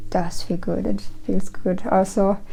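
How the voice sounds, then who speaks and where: A woman talks at a moderate pace with a German accent. Her intonation stays fairly even. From Germany. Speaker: witchcraft YouTuber. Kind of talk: casual personal ramble. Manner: rambling, halting with false starts.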